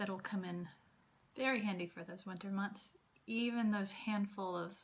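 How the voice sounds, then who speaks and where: Speaking with an American accent, a woman uses a medium pitch and a somewhat breathy, monotone, flat delivery. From Southern US. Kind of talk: class presentation. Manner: slow.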